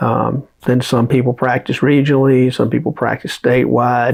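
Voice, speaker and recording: A Southern US accent at a moderate pace with monotone, flat intonation. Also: man. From US South, Alabama. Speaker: trial lawyer. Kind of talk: casual talk to camera. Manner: casual, with many fillers.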